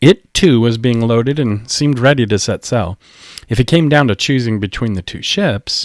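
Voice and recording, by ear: Here someone is reading aloud in a natural voice. Ordinary pitch variation marks the delivery.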